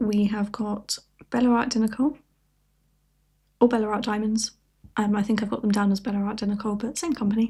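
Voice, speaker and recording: A woman with a British accent, fairly high in pitch yet dark and mellow in tone, somewhat breathy, at a fairly quick pace with long, frequent pauses. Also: fairly even intonation. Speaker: crafting YouTuber. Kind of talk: casual chat.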